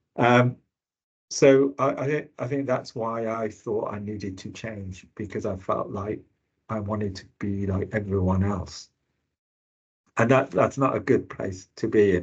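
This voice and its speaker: A man talks at a fairly slow pace in a fairly low, somewhat breathy voice. His pitch shows ordinary variation, while his loudness swings widely. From England, Birmingham. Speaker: health service finance director, panelist. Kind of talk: webinar panel talk. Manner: hesitant, many fillers and repeats.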